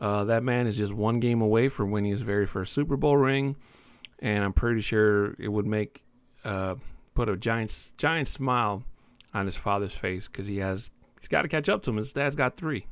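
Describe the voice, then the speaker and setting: A man speaks at a moderate pace in a medium pitch. His pitch varies in an ordinary way. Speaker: sports podcast host. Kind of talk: casual solo podcast talk. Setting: home recording, new room. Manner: laid-back with frequent fillers.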